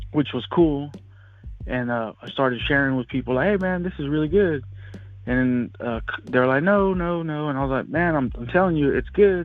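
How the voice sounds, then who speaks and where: A man's plain, everyday voice at a fairly high pitch, with lively intonation and a moderate pace. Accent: American. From California. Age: 30s. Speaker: oilfield worker. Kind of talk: interview. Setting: phone call.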